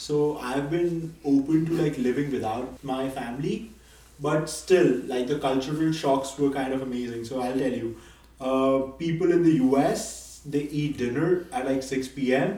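A man at a fairly slow pace against noticeable background noise. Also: fairly high pitch for a man, ordinary pitch variation. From Nepal, grew up in India. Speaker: graduate business student. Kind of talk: casual interview. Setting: guest's apartment.

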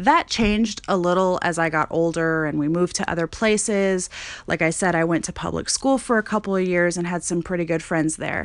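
Against a quiet background, a woman speaks fairly quickly in an ordinary speaking voice. Her pitch is fairly low, with ordinary variation. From Montana. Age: 20s. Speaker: podcast host. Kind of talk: casual monologue. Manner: conversational, filler-heavy.

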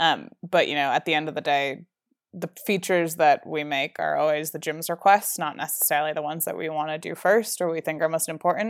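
With a very deep, low pitch and an American accent, a woman talks at a fairly quick pace with ordinary pitch variation in a very clean recording with a silent background. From New Jersey. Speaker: startup founder. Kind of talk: interview.

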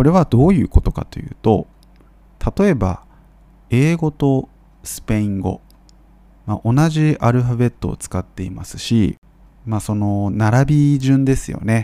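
A man with a medium pitch talks at a fairly slow pace, his intonation lively and broken by long, frequent pauses. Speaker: Japanese language teacher podcaster. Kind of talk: educational monologue for Japanese learners. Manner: clear, measured with frequent fillers.

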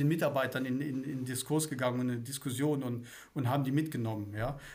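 Amid audible room echo, a man talks at a very fast pace with a fairly high pitch. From Swabia, southern Germany. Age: 50s. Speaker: company managing director. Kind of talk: casual interview chat.

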